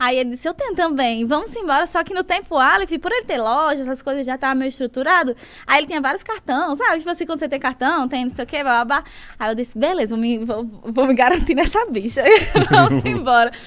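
The speaker talks at a very fast pace with lively intonation. The tone is animated. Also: woman, high pitch for a woman. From Brazil, Natal (Northeast); Northeast Brazil. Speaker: singer and dancer, social media influencer; social media influencer. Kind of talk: podcast interview, casual storytelling. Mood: lively, animated storytelling. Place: studio. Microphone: studio mic.

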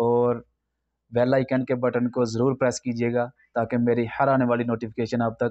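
A man speaks in a monotone with flat intonation. His pace is fairly slow, over a quiet background. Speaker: YouTuber. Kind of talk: vlog intro and outro. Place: home room. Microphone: new microphone; lapel.

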